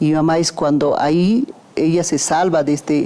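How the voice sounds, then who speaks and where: Noticeable background noise sits under a woman's voice. Her pitch is very deep and low, with fairly even intonation. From Peru, Huaraz (Andes). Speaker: son or daughter of a covid survivor. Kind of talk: documentary interview. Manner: halting, with fillers.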